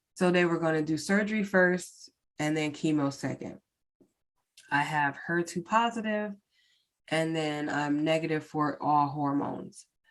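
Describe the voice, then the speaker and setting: A woman speaks at a fairly slow pace in a very deep, low pitch with ordinary pitch variation. The recording is very clean, with a silent background. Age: 40s. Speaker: podcast host. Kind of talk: personal testimony in solo podcast. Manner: casual, many fillers.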